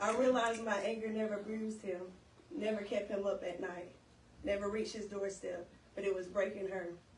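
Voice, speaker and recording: A woman speaks at a fairly quick pace. Noticeable background noise runs beneath her. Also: medium pitch for a woman, fairly even intonation. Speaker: spoken word poet. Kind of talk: spoken word poetry performance. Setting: live event.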